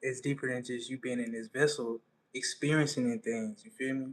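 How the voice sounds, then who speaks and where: At a moderate pace, a man speaks in a flat, monotone way at a medium pitch, and the sound is dry and close with no echo. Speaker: spiritual content creator. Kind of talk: livestream talk. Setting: home livestream at night.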